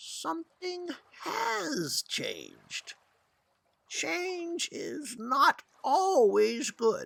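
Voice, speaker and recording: Someone uses a put-on character voice with a high pitch at a very slow pace. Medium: read story. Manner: grave, measured.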